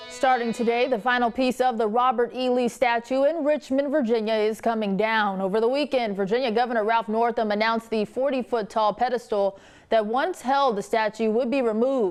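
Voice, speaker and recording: A woman with an American accent has an unremarkable speaking voice and a fairly high pitch. She talks at a fairly quick pace with hardly any pauses and fairly even intonation. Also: very even loudness, quiet background. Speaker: television news anchor. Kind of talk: TV news anchor broadcast delivery.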